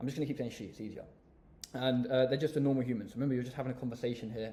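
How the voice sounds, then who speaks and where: This speaker is a man with an English accent. His voice has a medium pitch. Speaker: business coach youtuber. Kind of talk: tutorial. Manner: fast; confident.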